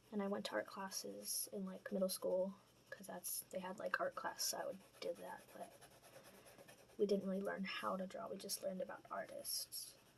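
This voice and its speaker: A woman's soft-spoken whisper at a moderate pace. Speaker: portrait artist, art channel creator. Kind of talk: casual tutorial talk over drawing timelapse.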